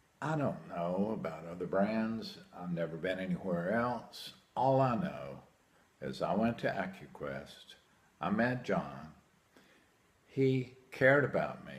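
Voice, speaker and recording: Speaking at a very slow pace, a man with a fairly low pitch makes very wide pitch swings amid audible room echo. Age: 60s. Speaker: hearing aid patient. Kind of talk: testimonial. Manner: animated.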